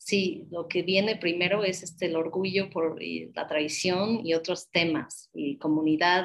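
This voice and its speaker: Fairly slow and with fairly even intonation, a woman talks. She hardly pauses. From United States. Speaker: mezcal podcaster and brand partner. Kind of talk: interview. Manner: halting.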